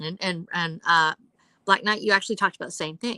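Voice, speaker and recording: Bright, sharp tone at a very fast pace, captured in a very clean recording with a silent background and a dry, close sound with no echo. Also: woman. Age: 60s. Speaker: published author and former investigator. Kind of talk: panel discussion on a livestream. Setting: live video stream.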